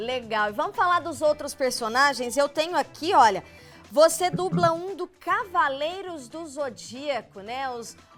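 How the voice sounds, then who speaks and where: Music plays in the background as a woman speaks fairly slowly. Her high voice makes very wide pitch swings. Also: big swings in loudness. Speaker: TV presenter. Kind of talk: TV interview host talk.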